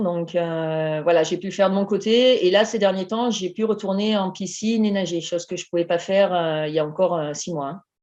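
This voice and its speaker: A woman with a normal speaking voice at medium pitch talks at a fairly quick pace with fairly even intonation and hardly any pauses. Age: 40s. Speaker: emergency nurse, coaching client. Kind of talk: interview testimony.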